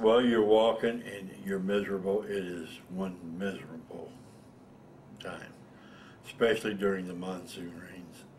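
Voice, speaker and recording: A man with an American accent talks at a fairly slow pace, leaving long, frequent pauses. His loudness swings widely. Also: fairly low pitch for a man, fairly even intonation. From Illinois, USA. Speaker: Vietnam War veteran. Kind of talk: interview answer.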